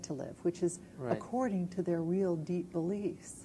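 The voice is somewhat breathy, with ordinary pitch variation and light background noise. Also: woman. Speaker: guest. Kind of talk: interview answer. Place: studio. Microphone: lapel.

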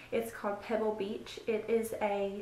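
In a room with audible echo, a woman speaks against light background noise. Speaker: beauty vlogger. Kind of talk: product review chat. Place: home room. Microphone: phone near.

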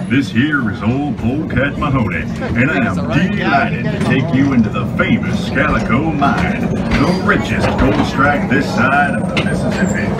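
A man talks at a moderate pace with hardly any pauses. Music plays in the background. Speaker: recorded ride narrator character. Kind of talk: theme ride narration. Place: tunnel cave.

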